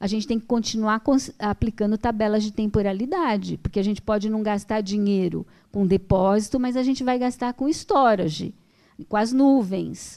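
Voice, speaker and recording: Against a quiet background, a woman talks at a moderate pace in a fairly high pitch. Her tone is dark and mellow, with ordinary pitch variation. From Brazil. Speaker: speaker. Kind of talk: panel Q&A answer. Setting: auditorium with live audience. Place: hall. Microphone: handheld.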